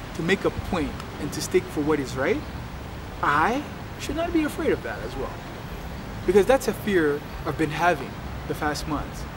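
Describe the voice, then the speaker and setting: A man keeps a moderate pace but pauses often and at length, with noticeable background noise around him. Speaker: entrepreneur and coach. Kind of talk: personal video diary. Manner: halting, with many fillers and repeats.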